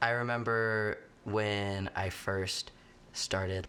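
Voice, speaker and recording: There is a bright, sharp tone to this man's voice, with ordinary pitch variation. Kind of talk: interview. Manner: casual, many fillers.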